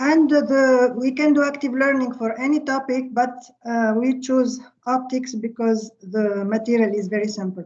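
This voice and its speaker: A woman with an Arabic accent speaks at a moderate pace in a high voice, her intonation fairly even, with audible echo from the room. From Tunisia. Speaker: physics professor. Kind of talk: lecture. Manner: halting.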